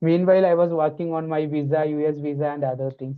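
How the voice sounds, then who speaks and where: With an Indian accent, a man speaks fairly quickly at a fairly high pitch, keeping his intonation fairly even. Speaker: pharmacy researcher and educator. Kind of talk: podcast interview.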